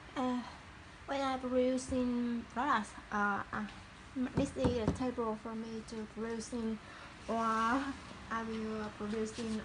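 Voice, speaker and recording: A woman's fairly high voice with a Vietnamese accent, very slow and fairly even, over noticeable background noise. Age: 30s. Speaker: small business owner. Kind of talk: casual talk to camera, workshop tour. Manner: hesitant, halting non-native English.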